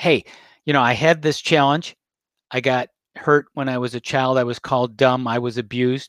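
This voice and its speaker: A man talks in an ordinary speaking voice at a medium pitch and moderate pace. His intonation is fairly even, and the sound is dry and close with no echo. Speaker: podcast host. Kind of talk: interview.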